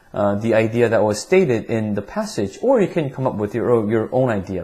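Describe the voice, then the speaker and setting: A man with a slight Korean accent speaks in a somewhat breathy, dark, mellow tone with lively intonation. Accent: slight non-native, Korean. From Korea, then Vancouver, Canada from school age. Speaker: English test prep teacher. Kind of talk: tutorial. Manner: halting, many repetitions and fillers.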